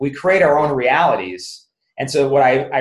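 Somewhat breathy, fairly high male voice, its pitch varying in an ordinary way. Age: 50s. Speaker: chiropractor and business author. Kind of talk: interview.

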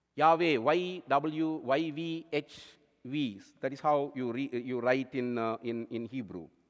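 In a very clean recording with a silent background, a man with a fairly high pitch speaks at a fairly slow pace with ordinary pitch variation. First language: non-English native language. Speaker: lay preacher. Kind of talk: sermon. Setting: church.

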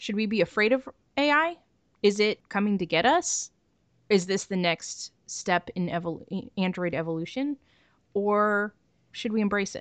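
A woman's normal speaking voice, dry and close with no echo, at a moderate pace with lively intonation over a quiet background. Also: medium pitch for a woman. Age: 30s. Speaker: podcast host. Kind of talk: casual chat.

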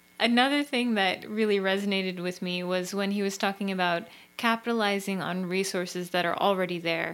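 Here is a woman with an unremarkable speaking voice and medium pitch. She talks at a fairly quick pace with fairly even intonation. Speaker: co-host. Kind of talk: casual debrief chat.

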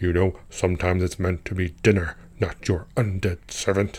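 In a put-on character voice, a man rumbles at a very deep, low pitch and a moderate pace. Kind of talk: comic monologue. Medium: audio drama. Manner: talkative, scornful, grumbling, with a soldier's pride; haughty, disdainful exclamations.

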